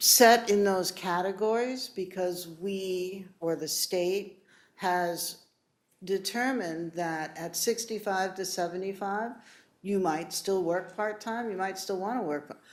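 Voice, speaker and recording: A woman with a medium pitch speaks at a very slow pace with fairly even intonation, and audible room echo. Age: 60s. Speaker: municipal property assessor. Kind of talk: public meeting presentation. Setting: city council chambers. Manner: conversational, with false starts.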